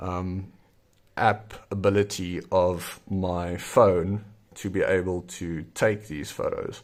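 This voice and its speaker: A man with a South African accent and fairly low pitch, in a very clean recording with a silent background. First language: Afrikaans. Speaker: zine maker and YouTuber. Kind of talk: tutorial. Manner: casual with frequent fillers.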